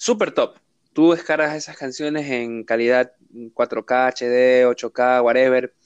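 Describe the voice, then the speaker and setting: With fairly even intonation, a man talks at a very slow pace in a dry, close sound with no echo. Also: medium pitch for a man. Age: 20s. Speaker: podcast host. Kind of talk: casual chat.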